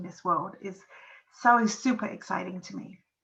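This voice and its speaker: Vocal fry runs through a woman's bright, sharp tone at a medium pitch. She speaks at a moderate pace with ordinary pitch variation. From England. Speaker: podcast host and parenting coach. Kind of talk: solo podcast monologue. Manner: casual, with many fillers.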